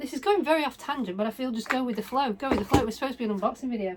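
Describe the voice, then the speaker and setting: Amid noticeable background noise, a woman with a British accent speaks with ordinary pitch variation. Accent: British (UK). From northwest England, Blackpool. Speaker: doll collector YouTuber. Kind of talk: casual unboxing vlog.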